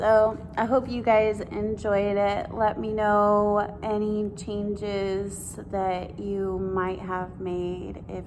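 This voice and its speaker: A woman's medium-pitched voice, flat and monotone, with hardly any pauses and audible room echo. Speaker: yoga teacher. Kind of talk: guided yoga instruction.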